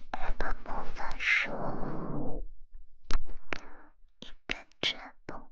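Whispering at a very slow pace, a woman leaves long pauses often. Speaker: ASMR streamer. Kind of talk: ASMR whispering. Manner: whispered. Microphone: studio mic.

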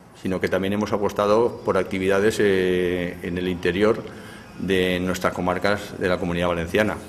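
Light background noise sits under this recording. A man speaks in a monotone, flat intonation. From Navajas, Alto Palancia, Valencia region. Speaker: triathlon federation representative. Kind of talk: press statement. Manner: hesitant with fillers. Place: hall. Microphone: handheld.

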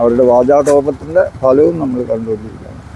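A male speaker's pitch moves in a normal way beneath noticeable background noise. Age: 80s+. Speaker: activist. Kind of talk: interview answer. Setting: outdoors.

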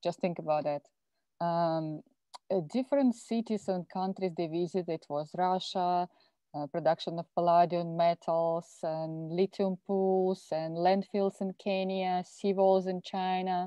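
A woman with a plain, everyday voice talks fairly slowly at a fairly low pitch and fairly even intonation. The sound is dry with no echo, and the background is quiet. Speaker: sustainability office staff. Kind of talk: film review in a webinar. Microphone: video call.

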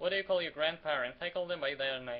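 A man speaks with a Ukrainian accent. His intonation stays fairly even. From Ukraine. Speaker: vlogger. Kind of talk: casual talk to camera. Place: home room. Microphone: webcam.

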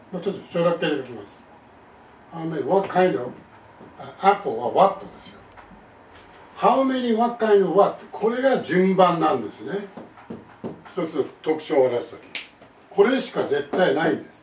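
With light background noise and audible room echo, a man speaks at a fairly slow pace and a high pitch, his lively intonation broken by long, frequent pauses and big swings in loudness. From Japan. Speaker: English teacher. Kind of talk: lecture. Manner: formal. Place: home room.

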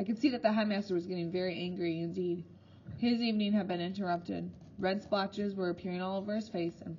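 Delivered in a natural reading voice, the speech has fairly even intonation.

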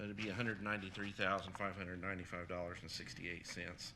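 A soft-spoken voice with a bright, sharp tone and flat, monotone intonation, carrying audible room echo. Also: man. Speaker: county program director presenting grant. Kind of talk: public meeting presentation. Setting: county council meeting room.

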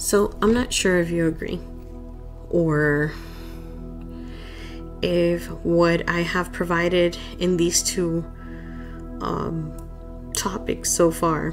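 Music plays in the background as a soft-spoken woman talks. Her pace is very slow, broken by long, frequent pauses. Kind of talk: casual personal talk.

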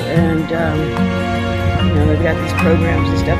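A woman at a fairly quick pace, dry with no echo, against loud background music. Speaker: vlogger. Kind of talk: casual vlog chat. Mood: upset, grieving, frustrated. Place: street. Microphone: phone near.

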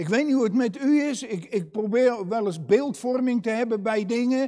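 A man's high voice with a dark, mellow tone, ordinary pitch variation, a moderate pace and a quiet background. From Netherlands, Katwijk; Netherlands. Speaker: preacher. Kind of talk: sermon. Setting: church. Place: church. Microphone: lapel.

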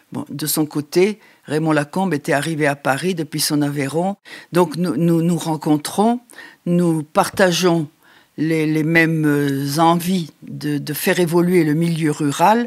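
Against a quiet background, a woman with a very deep, low pitch talks at a very slow pace with fairly even intonation. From Champagne, northeastern France. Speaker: farmer and rural women's activist; interview guest. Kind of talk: interview testimony. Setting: at her home. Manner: halting. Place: home room.

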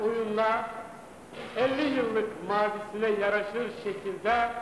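A man's high-pitched voice at a very slow pace, with audible room echo and light background noise. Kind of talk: ceremonial speech. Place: stage. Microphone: old recording.

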